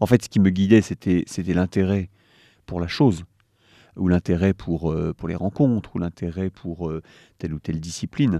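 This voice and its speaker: A man's very deep, low voice with a dark, mellow tone, a moderate pace and long, frequent pauses, in a dry, close sound with no echo. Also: ordinary pitch variation. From France, Sarthe. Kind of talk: interview. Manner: halting, many hesitations.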